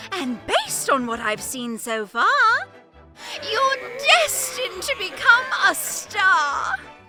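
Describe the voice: In a cartoonish character voice, a woman speaks at an extremely high pitch with a bright, sharp tone, big pitch swings and a slow pace, faint music playing in the background.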